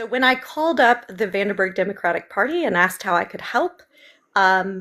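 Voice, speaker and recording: Lively intonation and a bright, sharp tone mark this woman's medium-pitched voice, delivered with an American accent at a moderate pace. The recording is very clean, with a silent background. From US South, Memphis. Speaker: political candidate. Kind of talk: interview.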